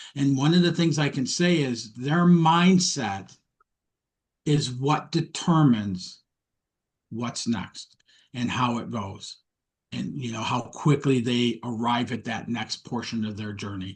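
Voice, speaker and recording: A man with an American accent, speaking at a very slow pace, his voice somewhat breathy and his intonation lively. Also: medium pitch for a man. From US Midwest, Detroit, Michigan. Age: 60s. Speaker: mindset coach. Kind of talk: interview podcast chat.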